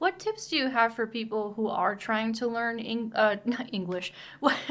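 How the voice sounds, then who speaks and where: Noticeable background noise sits behind the speaker. She is a woman with a fairly high pitch and ordinary pitch variation. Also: moderate pace. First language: Spanish. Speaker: travel and business video co-host. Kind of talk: casual chat.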